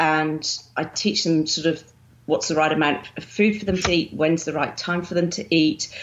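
The speaker talks at a moderate pace with ordinary pitch variation, in a southern English accent. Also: woman. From southern England, Winchester. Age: 50s. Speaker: bodybuilding champion and fitness coach. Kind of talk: interview. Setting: remote call.

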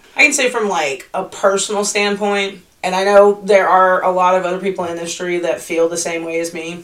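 Over noticeable background noise, a woman speaks at a medium pitch and a fairly quick pace with hardly any pauses. Her intonation stays fairly even. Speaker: restaurant industry podcast co-host. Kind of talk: casual chat. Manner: loud.

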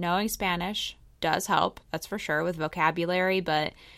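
Her voice carries vocal fry and an American accent as the woman speaks at a fairly quick pace. The recording is very clean with a silent background. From Pennsylvania, US. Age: 30s. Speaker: podcast host. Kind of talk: casual monologue.

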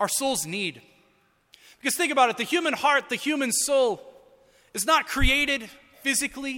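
A man's extremely high, bright, sharp voice, raised and projected. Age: 30s. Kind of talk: sermon.

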